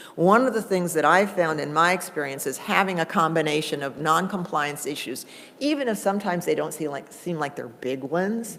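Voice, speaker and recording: Her pitch fairly low and her intonation lively, a woman talks at a fairly quick pace with hardly any pauses, amid audible room echo. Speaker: conference presenter on cable franchising. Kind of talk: conference workshop presentation. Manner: fast.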